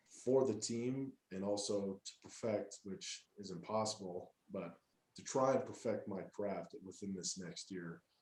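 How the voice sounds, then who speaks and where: A man with a plain, everyday voice and an American accent, fairly low in pitch, with ordinary pitch variation at a fairly slow pace. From Wyoming, US. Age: 20s. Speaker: college football player. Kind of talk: interview.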